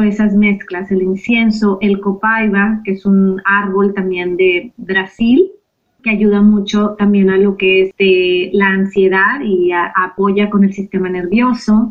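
A woman's medium-pitched voice in a Mexican accent, very slow, with monotone, flat intonation. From Mexico. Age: 40s. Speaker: yoga and meditation teacher, aromatherapy coach. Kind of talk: interview conversation.

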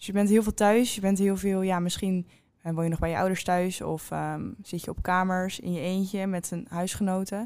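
In a very clean recording with a silent background, a woman speaks at a moderate pace in a medium pitch with flat, monotone intonation. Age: 20s. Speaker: student podcast host. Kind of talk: interview.

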